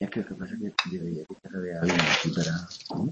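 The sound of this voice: A man speaks with a slightly mellow tone and a husky, rough edge. His pace is moderate, with ordinary pitch variation.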